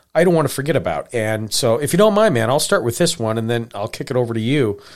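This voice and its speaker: A man's normal speaking voice with an American accent, medium pitch and lively intonation, on a very clean recording with a silent background. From Montana. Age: 40s. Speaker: podcast host. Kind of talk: casual chat.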